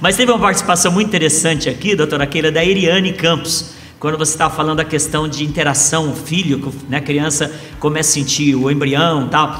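A man's fairly high voice at a fairly quick pace, fairly even in intonation, with audible room echo and noticeable background noise. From Brazil, interior of São Paulo state. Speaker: pastor. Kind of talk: live podcast interview.

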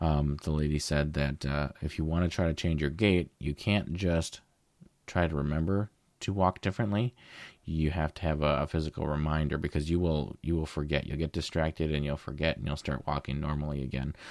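A man speaks at a fairly quick pace. His very deep, low pitch stays fairly even in intonation. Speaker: podcast co-host, photographer. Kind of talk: casual chat.

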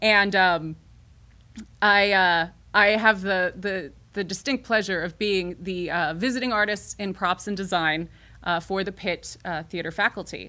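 A woman's bright, sharp voice at a medium pitch with an American accent, at a fairly slow pace, in a very clean recording with a silent background. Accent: faint Midwestern, fading. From southern Illinois. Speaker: theater director. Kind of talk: casual interview chat. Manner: filler-heavy, hesitant.

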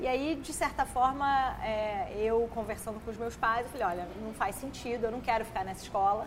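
A woman with a normal speaking voice talks at a moderate pace with hardly any pauses. Her pitch is fairly high, with ordinary variation. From Brazil, Petrópolis (Rio de Janeiro state). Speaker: emotional intelligence educator and author. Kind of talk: podcast interview. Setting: studio.

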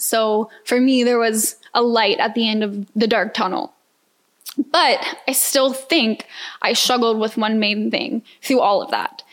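This woman has an American accent and a fairly high pitch. She talks at a fairly slow pace with ordinary pitch variation. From US South, Atlanta, Georgia. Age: 20s. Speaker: podcast host. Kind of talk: personal testimony monologue.

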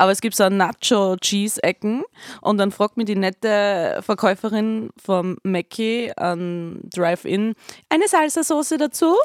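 In a normal speaking voice, a woman talks at a fairly slow pace with medium pitch and lively intonation, in a very clean recording with a silent background and a dry, close sound with no echo. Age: 30s. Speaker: band member podcast host. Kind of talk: casual chat.

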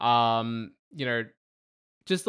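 In an Australian accent, the voice comes through on a very clean recording with a silent background. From Melbourne, Australia. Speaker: podcast host. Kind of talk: casual chat. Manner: rambling, halting, jokey.

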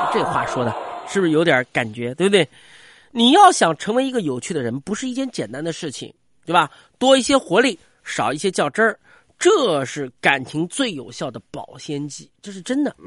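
With an animated tone, a man speaks in a high voice at a moderate pace, his pitch swinging very widely and his loudness rising and falling sharply against a quiet background. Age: 40s. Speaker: radio comedian. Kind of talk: comic monologue. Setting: studio.

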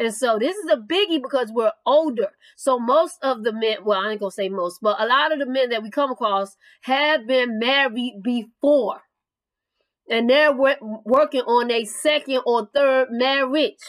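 A woman talks at a moderate pace. Her pitch is fairly high and shows ordinary pitch variation.

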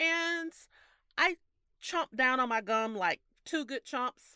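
This is a very clean recording with a silent background and a dry, close sound with no echo. The woman's tone is bright and sharp. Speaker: podcast co-host. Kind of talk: casual chat. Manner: giggly, laughs often.

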